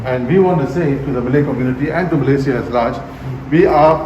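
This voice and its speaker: Noticeable background noise accompanies a very fast pace and fairly even intonation. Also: man. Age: 60s. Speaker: politician. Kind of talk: interview answer.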